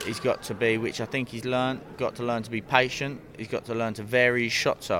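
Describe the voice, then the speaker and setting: Against noticeable background noise, a man talks at a fairly quick pace with hardly any pauses, his medium-pitched voice monotone and flat. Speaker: boxing trainer. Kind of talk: interview.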